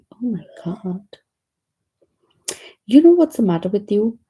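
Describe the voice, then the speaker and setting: A woman with a dark, mellow tone speaks in a somewhat breathy voice with lively intonation. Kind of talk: children's story reading.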